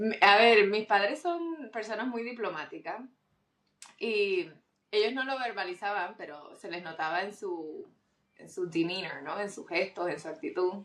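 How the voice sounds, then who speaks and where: An unremarkable speaking voice belongs to a woman at a medium pitch, with lively intonation and big swings in loudness. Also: fairly slow pace. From Puerto Rico. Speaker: doctor, surgeon. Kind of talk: interview testimony.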